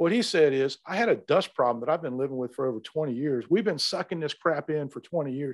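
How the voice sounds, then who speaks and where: With a plain, everyday voice, a man talks at a fairly quick pace and fairly high pitch, hardly pausing, in a dry, close recording with no echo. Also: lively intonation, quiet background. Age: 60s. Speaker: HVAC trade training expert. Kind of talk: interview.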